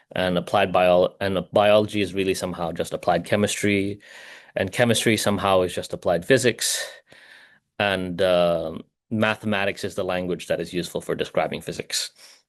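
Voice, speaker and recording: At a moderate pace, a man speaks at a fairly low pitch in a monotone, flat delivery. The background is quiet. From Hong Kong. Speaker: physicist, spotlight speaker. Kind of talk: online conference talk. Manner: halting, with frequent repetitions and fillers.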